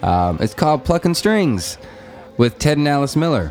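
A man with an American accent speaks at a moderate pace, his pitch swinging very widely. Noticeable background noise runs underneath. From western Nebraska Sandhills. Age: 30s. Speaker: podcast host and musician. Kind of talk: casual chat; podcast intro monologue.

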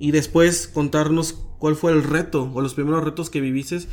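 This man speaks at a moderate pace. His pitch sits fairly high. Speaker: podcast host. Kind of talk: casual interview. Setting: outdoors.

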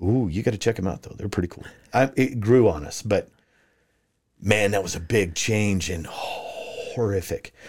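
A man with an American accent speaks at a moderate pace in a fairly low, somewhat breathy voice, with ordinary pitch variation and big swings in loudness. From US Southwest, Farmington, New Mexico. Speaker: retired police officer and sheriff candidate. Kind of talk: interview.

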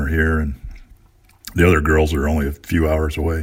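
Somewhat breathy and in an American accent, the voice moves at a moderate pace over a very clean recording with a silent background. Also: man. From US West Coast, Long Beach, California. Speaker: pastor. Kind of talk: interview.

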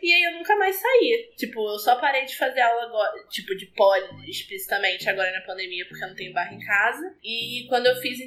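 Over noticeable background noise, the speaker goes at a fairly quick pace with hardly any pauses, very wide pitch swings and big swings in loudness. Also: woman, high pitch for a woman. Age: 20s. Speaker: pole dancer. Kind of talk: casual chat.

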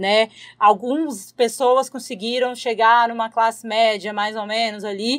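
A woman's fairly high-pitched voice, a normal speaking voice. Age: 20s. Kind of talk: casual interview.

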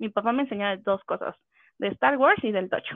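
With an unremarkable speaking voice, a woman talks at a moderate pace in a fairly high pitch with ordinary pitch variation. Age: 20s. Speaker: gamer, communications professional. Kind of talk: casual chat.

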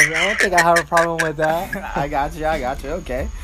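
A man with a fairly high pitch and an American accent, with noticeable background noise. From Miami, Florida. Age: 20s. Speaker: dance community organizer, medical worker. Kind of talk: casual interview.

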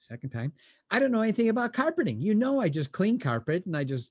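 With very wide pitch swings and an animated tone, a man races along at a very fast pace, the sound dry and close with no echo and the background quiet. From Chicago. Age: 60s. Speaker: motivational speaker and business founder. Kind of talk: podcast interview. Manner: animated storyteller; repeats words, halting restarts.

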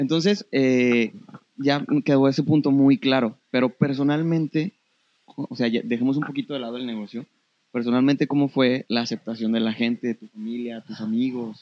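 In an unremarkable speaking voice, a man at medium pitch talks at a moderate pace, recorded dry and close with no echo. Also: ordinary pitch variation. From Torreón, northern Mexico. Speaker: podcast host and photographer. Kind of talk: casual interview.

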